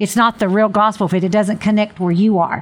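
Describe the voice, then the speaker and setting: A woman talks in an animated tone. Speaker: religious radio host. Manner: animated, fervent.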